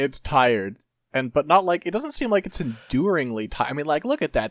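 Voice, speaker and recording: Lively intonation marks this man's ordinary speaking voice as he talks at a fairly quick pace, with a dry, close sound and no echo. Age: 30s. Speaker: podcast host. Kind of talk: casual banter.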